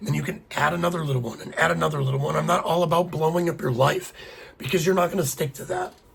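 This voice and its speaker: A man with a fairly high-pitched voice talks amid noticeable background noise. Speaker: podcast host. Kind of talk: solo podcast monologue. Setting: home podcast with a single microphone. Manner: fast; casual, conversational.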